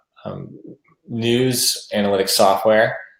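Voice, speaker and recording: A man speaks with an American accent. His intonation is fairly even. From United States. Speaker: software sales executive. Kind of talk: webinar presentation.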